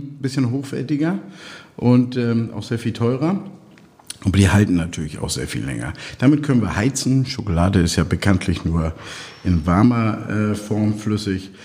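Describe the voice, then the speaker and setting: A man's fairly low voice moves at a moderate pace with lively intonation, broken by long, frequent pauses. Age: 50s. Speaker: logistics company owner. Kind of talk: interview.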